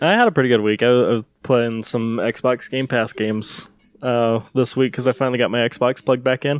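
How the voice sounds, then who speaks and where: Using a plain, everyday voice, a man talks at a medium pitch and a fairly quick pace. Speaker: podcast host. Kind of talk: casual chat. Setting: live stream.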